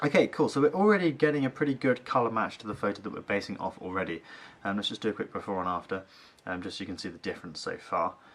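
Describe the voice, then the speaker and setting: A man's fairly low voice at a very fast pace, with lively intonation and big swings in loudness. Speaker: photo editing YouTuber. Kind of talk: tutorial. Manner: casual, many fillers.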